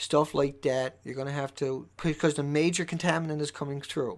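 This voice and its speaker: The recording is very clean and the background silent. Speech moves at a moderate pace. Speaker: live streamer, anti-nuclear activist. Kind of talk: live stream monologue. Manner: animated.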